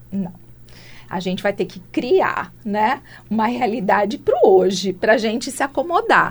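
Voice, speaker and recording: A woman speaks at a moderate pace with a fairly high, somewhat breathy voice. Her intonation is lively. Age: 50s. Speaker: entrepreneur and international speaker. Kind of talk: interview.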